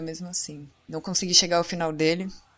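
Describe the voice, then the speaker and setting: At a fairly quick pace, a woman speaks in a fairly low pitch with monotone, flat intonation. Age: 20s. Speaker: gamer. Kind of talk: casual chat.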